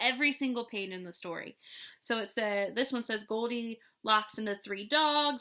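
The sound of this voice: The speaker reads aloud in an unforced reading voice.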